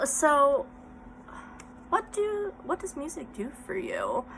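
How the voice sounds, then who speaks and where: With noticeable background noise, a woman speaks with very wide pitch swings. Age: 30s. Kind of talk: casual vlog talk.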